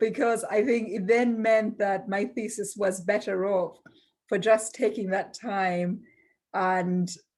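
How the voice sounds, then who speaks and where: A woman's medium-pitched voice with a non-native accent, very slow and fairly even in intonation, on a very clean recording with a silent background. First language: not English. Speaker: global health law academic. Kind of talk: panel discussion.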